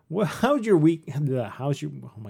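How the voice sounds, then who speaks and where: Fairly quick speech from a man in a normal speaking voice with lively intonation, on a very clean recording with a silent background. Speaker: podcast host. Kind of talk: casual chat.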